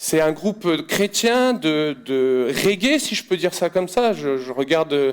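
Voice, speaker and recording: A high-pitched man with lively intonation. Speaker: preacher. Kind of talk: sermon. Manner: halting.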